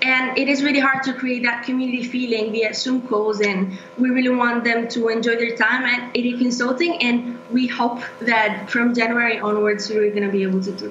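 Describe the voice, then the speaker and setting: With hardly any pauses, a woman speaks in a high pitch amid light background noise and audible room echo. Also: fairly even intonation, moderate pace. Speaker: international student. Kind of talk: casual interview. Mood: warm, friendly. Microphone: video call.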